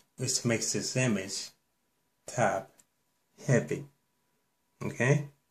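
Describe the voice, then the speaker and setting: With vocal fry and lively intonation, a man speaks at a medium pitch and a very slow pace, leaving long, frequent pauses. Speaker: bible teacher. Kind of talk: bible teaching monologue.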